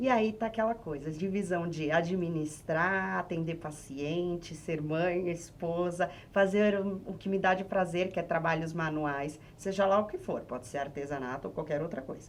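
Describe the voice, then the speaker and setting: Speaking in a normal speaking voice at a moderate pace with hardly any pauses, a woman holds a fairly low pitch with ordinary pitch variation. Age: 30s. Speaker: sex therapist. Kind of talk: podcast interview.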